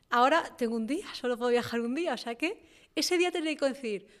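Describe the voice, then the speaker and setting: A woman speaks in a high pitch with lively intonation. The recording is very clean, with a silent background. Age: 30s. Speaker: entrepreneur. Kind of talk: casual interview. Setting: studio in a garage.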